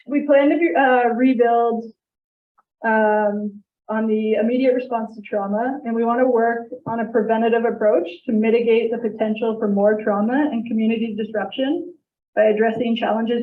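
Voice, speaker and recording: This woman's voice is fairly high and shaky, moving at a moderate pace with fairly even intonation. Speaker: crisis team presenter. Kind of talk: presentation to council.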